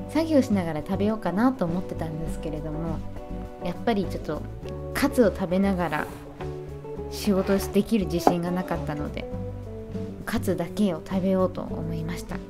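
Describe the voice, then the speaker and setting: With music in the background, a woman speaks in an upbeat tone at a moderate pace. She leaves long, frequent pauses. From born and raised in the USA, moved to Japan at 15. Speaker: voice actress and singer. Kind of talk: casual vlog talk to camera. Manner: upbeat, chatty.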